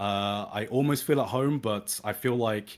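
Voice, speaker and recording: A southern English accent on a very clean recording with a silent background. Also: man. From southern England, Brighton. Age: 30s. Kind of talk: casual chat. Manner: halting.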